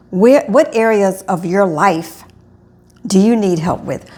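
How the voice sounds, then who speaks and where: A woman speaks in an ordinary speaking voice at medium pitch. Her pace is fairly slow and her intonation lively. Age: 60s. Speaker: health and wellness coach. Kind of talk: direct-to-camera vlog monologue. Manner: casual, self-correcting speech.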